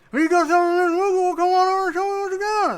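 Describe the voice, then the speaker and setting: This put-on character voice sits at an extremely high pitch. It races along at a very fast pace. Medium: actual play. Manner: animated, cheerful, fast.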